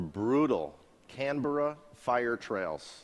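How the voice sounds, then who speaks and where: A man speaks with a normal speaking voice in an American accent. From USA. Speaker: auto industry executive. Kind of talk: launch event speech. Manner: formal.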